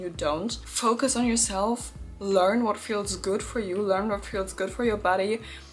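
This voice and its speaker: Amid noticeable background noise, a woman speaks at a moderate pace with medium pitch and fairly even intonation. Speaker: manifestation youtuber. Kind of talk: pep talk. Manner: loud.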